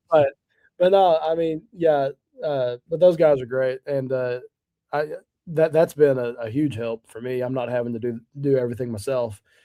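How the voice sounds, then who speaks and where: A man speaks with an American accent in a plain, everyday voice. His pitch is medium and his pace moderate. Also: ordinary pitch variation. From Hamburg, Arkansas, USA. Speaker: PA announcer for sports games. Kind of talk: casual interview answers, storytelling. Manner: relaxed, chatty, conversational.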